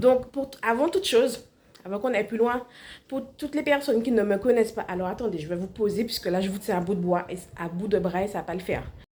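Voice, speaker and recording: A woman's very fast, fairly high-pitched speech with ordinary pitch variation and big swings in loudness. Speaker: cooking instructor, entrepreneur. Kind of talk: vlog.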